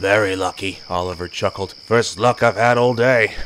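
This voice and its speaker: A put-on, raspy character voice from a man, fairly low in pitch at a moderate pace, over clear background noise. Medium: read story.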